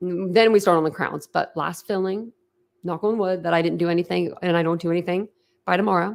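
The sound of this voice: At a moderate pace, a woman talks with a fairly low pitch, fairly even intonation and vocal fry.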